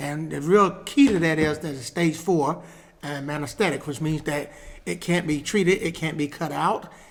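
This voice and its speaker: Speaking at a moderate pace, a man with a fairly high pitch and vocal fry keeps his intonation fairly even. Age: 60s. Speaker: pastor. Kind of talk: casual chat. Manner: halting.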